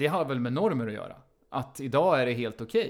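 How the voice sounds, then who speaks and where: A normal speaking voice from a man, medium-pitched and moderately paced. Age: 40s. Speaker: podcast co-host. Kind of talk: casual chat.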